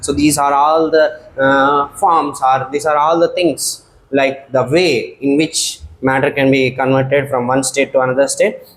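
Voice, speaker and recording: A man speaks with an Indian accent at a fairly high pitch. Noticeable background noise can be heard behind him. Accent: Indian English (Telugu). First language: Telugu. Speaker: science teacher. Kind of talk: lecture. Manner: hesitant fillers.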